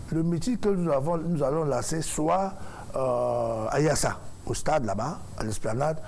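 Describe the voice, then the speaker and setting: Amid audible room echo, the speech moves at a very slow pace with lively intonation. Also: man. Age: 50s. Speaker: musician and presidential candidate. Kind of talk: talk show interview.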